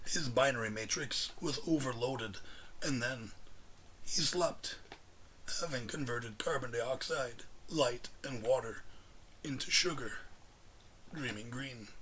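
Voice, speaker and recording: Putting on a raspy character voice, a man speaks at a fairly slow pace and medium pitch with ordinary pitch variation and long, frequent pauses, over clear background noise. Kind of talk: audiobook reading. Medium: read story. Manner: measured, deliberate.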